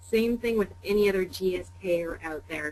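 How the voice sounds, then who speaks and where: This is a normal speaking voice with ordinary pitch variation. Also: woman. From Canada. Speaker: pharmaceutical sales executive. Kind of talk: webinar interview. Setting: webinar call.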